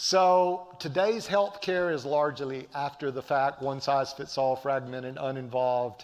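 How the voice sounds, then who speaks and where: A man with a Southern US accent, fairly slow in pace, fairly high in pitch, with ordinary pitch variation. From US South, Appalachian North Carolina. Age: 60s. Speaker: professor. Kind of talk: lecture. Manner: animated, preacher-like.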